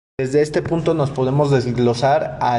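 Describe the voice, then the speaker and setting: Noticeable background noise and audible room echo surround the speaker. He is a man whose intonation stays fairly even. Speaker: podcaster. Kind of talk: monologue. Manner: stuttering, halting.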